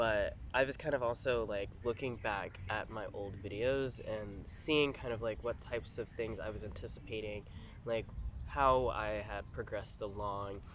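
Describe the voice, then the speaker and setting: A man's fairly low voice carries vocal fry and ordinary pitch variation. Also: moderate pace. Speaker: vlogger. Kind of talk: casual vlog monologue. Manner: halting, many fillers.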